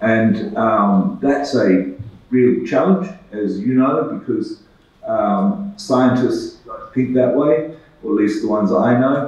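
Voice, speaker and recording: Through noticeable background noise and audible room echo, a man with an Australian accent speaks at a very slow pace, his medium pitch making very wide swings. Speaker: medical researcher. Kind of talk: conference presentation. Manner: halting, many fillers.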